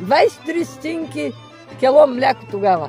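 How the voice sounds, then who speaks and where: The speaker talks at a fairly slow pace with very wide pitch swings while music plays in the background. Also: woman. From Bulgaria. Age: old. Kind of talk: interview answer.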